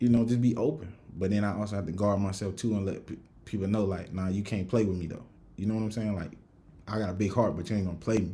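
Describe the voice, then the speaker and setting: A man with a strong Southern US accent talks at a very fast pace in a fairly low pitch and dark, mellow tone. His intonation stays fairly even, and audible room echo is present. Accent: thick Southern country. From US South, Rock Hill, South Carolina. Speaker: podcast host. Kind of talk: casual chat. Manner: casual, many fillers.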